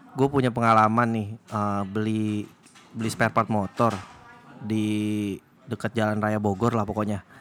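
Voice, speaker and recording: Speech moves at a moderate pace in a monotone, flat intonation. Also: man, fairly low pitch for a man. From Indonesia, Chinese-Indonesian. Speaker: podcast host, office worker. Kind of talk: casual chat. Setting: recording after work in the evening.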